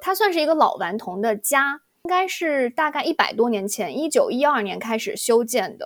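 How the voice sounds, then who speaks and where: Her voice is high-pitched and swings very widely in pitch. The woman keeps a moderate pace. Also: hardly any pauses. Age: young. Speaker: podcast host. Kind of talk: casual chat.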